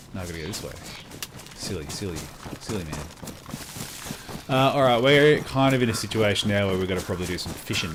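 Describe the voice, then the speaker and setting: A man with lively intonation speaks at a fairly quick pace, with audible room echo and noticeable background noise. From South Australia. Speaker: game streamer. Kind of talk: live gameplay stream chat. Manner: casual, hesitant with fillers.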